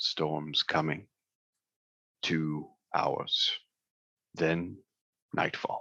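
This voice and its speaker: In a put-on character voice, a man speaks with a guttural sound at a very slow pace, leaving long, frequent pauses. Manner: grim, terse.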